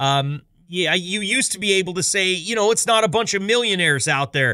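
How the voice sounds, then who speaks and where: A man's raised, projected voice, high-pitched, bright and sharp, animated in tone with lively intonation, fairly quick and very even in loudness, on a very clean recording with a silent background. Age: 40s. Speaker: podcast host. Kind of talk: casual monologue intro.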